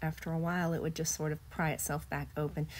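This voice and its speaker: In a very clean recording with a silent background, a woman talks in a somewhat breathy voice. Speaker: video blogger sharing illness journey. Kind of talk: personal testimony narration.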